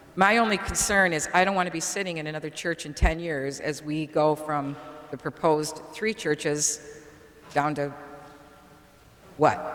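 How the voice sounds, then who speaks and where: A woman's very deep, low voice in an American accent, ordinary pitch variation, a moderate pace, long, frequent pauses, and noticeable background noise. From Auburn, New York (upstate New York). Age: 60s. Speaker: parishioner. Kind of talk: public comment at a meeting.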